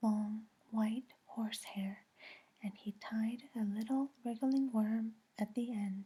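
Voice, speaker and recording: Soft-spoken and whispering, the speaker moves at a very slow pace. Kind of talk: audiobook read-aloud for sleep. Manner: whispered, soft-spoken.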